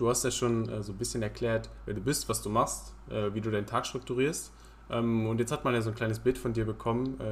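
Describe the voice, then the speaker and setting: Here is a man with a plain, everyday voice. His pitch is medium and his pace fairly quick. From Germany, Saxony-Anhalt (Halberstadt). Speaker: podcast host, student. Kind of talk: casual chat.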